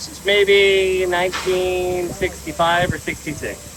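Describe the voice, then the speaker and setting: A man with a high-pitched voice is speaking. Noticeable background noise runs under him. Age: 60s. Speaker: museum volunteer, locomotive engineer. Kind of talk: casual interview.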